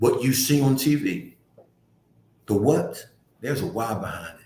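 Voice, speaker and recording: With an American accent, a man speaks in an animated tone with ordinary pitch variation, and audible room echo surrounds his voice. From US, North Philadelphia. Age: 60s. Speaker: community nonprofit director. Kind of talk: community talk livestream.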